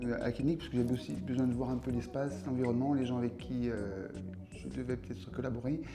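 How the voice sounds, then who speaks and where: Over noticeable background noise and audible room echo, a man talks very fast at a medium pitch with ordinary pitch variation. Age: 60s. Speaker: patient giving testimonial. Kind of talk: testimony. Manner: halting, many hesitations.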